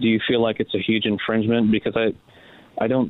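The words come very fast in an American accent. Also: man. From San Diego East County, California. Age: 30s. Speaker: congressional candidate. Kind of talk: interview.

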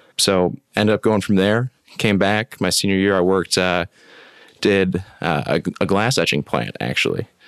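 A man in a plain, everyday voice speaks with an American accent at a moderate pace, fairly low in pitch with ordinary pitch variation. Loudness stays very even, and the sound is dry and close with no echo. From West Michigan. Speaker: water treatment professional. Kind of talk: casual interview.

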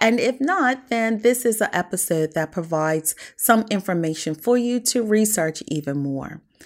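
Over a silent background in a very clean recording, a woman speaks at a moderate pace with very wide pitch swings. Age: 40s-50s. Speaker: podcast host. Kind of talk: podcast interview; scripted intro.

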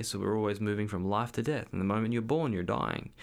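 A man speaks in a fairly low pitch. His pitch variation is ordinary. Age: 30s. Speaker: podcast host and energetic coach. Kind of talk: solo monologue podcast. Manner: casual, hesitant with fillers.

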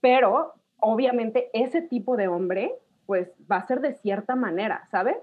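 Speaking at a fairly slow pace, a woman uses lively intonation in a high voice. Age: 30s. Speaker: podcast guest. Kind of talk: casual chat.

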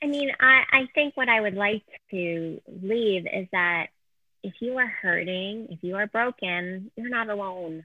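In a Canadian accent, a woman with a plain, everyday voice speaks at a medium pitch and a fairly slow pace, with ordinary pitch variation and big swings in loudness. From Canada. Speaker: author and speaker. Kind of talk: interview testimony.

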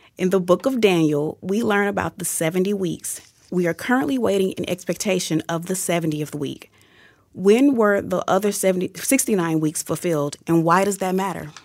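At a fairly quick pace, a woman talks in a normal speaking voice at medium pitch with ordinary pitch variation. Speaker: radio producer. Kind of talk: reading listener questions aloud. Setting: studio.

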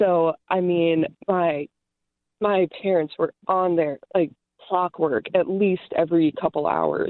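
Very slow and marked by long, frequent pauses, a woman's fairly low voice keeps a very even loudness and ordinary pitch variation. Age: 20s. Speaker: radio caller. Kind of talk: call-in radio conversation. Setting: phone call.

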